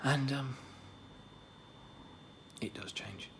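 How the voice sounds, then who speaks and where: Soft-spoken whispering over noticeable background noise. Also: man. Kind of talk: ASMR roleplay whispering to a friend. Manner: whispered, soft-spoken.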